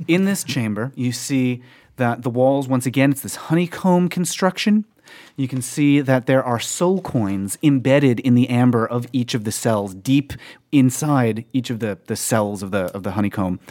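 In a very clean recording with a silent background, a man of medium pitch with a dark, mellow tone speaks at a moderate pace with lively intonation. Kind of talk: ghost story telling. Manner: vivid, immersive second-person narration, building tension with repeated phrases.

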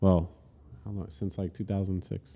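This man's voice sits very deep and low, with a dark, mellow tone. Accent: New Jersey. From New Jersey, Elizabeth. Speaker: music industry entrepreneur, former hardcore singer. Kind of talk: casual chat. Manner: casual, halting with fillers.

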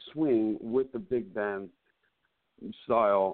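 A man speaks at a medium pitch. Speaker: cantor and singer. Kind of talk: interview. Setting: remote call.

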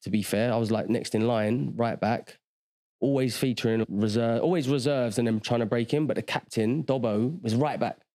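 Spoken at a moderate pace with a London accent, this voice has a dark, mellow tone, ordinary pitch variation and very even loudness. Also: man. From South London. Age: 40s. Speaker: former footballer turned agency owner. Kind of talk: casual interview chat.

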